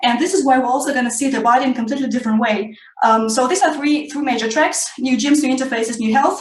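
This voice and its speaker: Over noticeable background noise and audible room echo, a woman speaks very fast at a high pitch with hardly any pauses and ordinary pitch variation. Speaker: tech event founder. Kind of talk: interview. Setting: video call.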